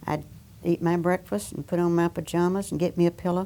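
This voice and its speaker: Speaking at a fairly quick pace with an Alabama accent, a woman has a fairly low pitch and a dark, mellow tone. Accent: Southern US, Alabama. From US South. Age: 80s+. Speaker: war veteran worker. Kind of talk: oral history interview. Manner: halting.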